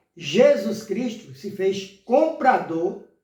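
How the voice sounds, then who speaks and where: A man's voice with a dark, mellow tone, pitched high for a man. Audible echo from the room surrounds it. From Brazil, Pernambuco (Limoeiro). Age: 60s. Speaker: lay preacher. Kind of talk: sermon. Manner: halting, with many fillers.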